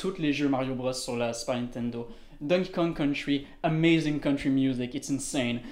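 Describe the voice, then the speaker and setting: Speaking at a fairly slow pace with fairly even intonation, this is an ordinary speaking voice. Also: man. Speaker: musician. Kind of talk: casual chat.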